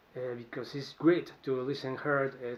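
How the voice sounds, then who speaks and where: A man speaks with a Spanish accent. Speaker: musician. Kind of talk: answering interview questions to camera. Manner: halting, with false starts.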